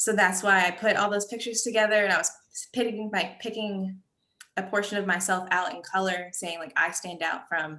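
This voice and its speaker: An American accent with a bright, sharp tone and fairly even intonation. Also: woman. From US, Liberian American family. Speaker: student exhibitor. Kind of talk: panel discussion.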